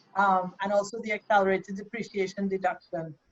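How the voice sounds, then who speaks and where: At a very fast pace, a woman talks in a medium pitch, the sound dry and close with no echo. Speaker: accountant. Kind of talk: workshop presentation.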